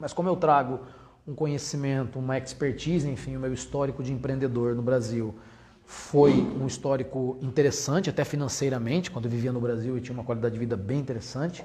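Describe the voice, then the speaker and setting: Against audible room echo, a man with a medium pitch talks at a fairly quick pace with fairly even intonation. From Brazil. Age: 40s. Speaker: entrepreneur. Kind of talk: lecture.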